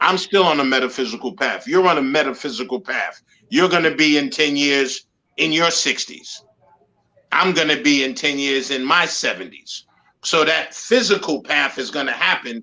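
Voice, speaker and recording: In an ordinary speaking voice with an American accent, a man talks at a moderate pace with lively intonation and a fairly high pitch. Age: 60s. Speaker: guest, show host and accountability coach. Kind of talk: casual chat.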